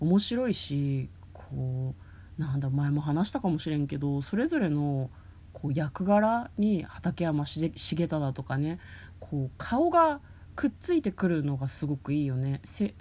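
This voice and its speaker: Against a quiet background, a woman speaks fairly slowly in a very deep, low pitch, her dark, mellow tone somewhat breathy and her intonation lively. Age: 30s. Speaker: podcast host. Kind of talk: casual chat. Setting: in a car.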